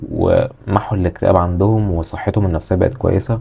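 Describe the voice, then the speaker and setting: A man speaks with a Cairo accent. His pitch is fairly low and his intonation fairly even. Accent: Egyptian Arabic (Cairene). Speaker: self-improvement YouTuber. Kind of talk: casual advice monologue. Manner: aggressive tone.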